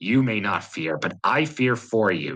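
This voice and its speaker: In a quiet, growling, put-on character voice, a man speaks at a medium pitch and moderate pace with lively intonation. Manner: quiet, tender.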